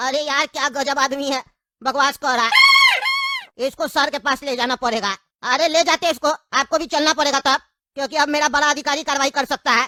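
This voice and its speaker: Shouting in a cartoonish character voice, a man speaks at a moderate pace with an extremely high pitch. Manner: colloquial, weary, reasoning.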